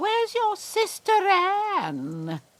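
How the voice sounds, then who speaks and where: A woman uses a put-on character voice at an extremely high pitch. The sound is squeaky. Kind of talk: comic overacting. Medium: stage play.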